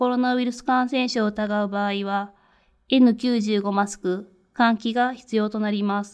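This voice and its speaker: A woman speaks in a normal speaking voice. Her pitch is fairly high and her intonation fairly even. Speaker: infection control nurse. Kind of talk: lecture. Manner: formal.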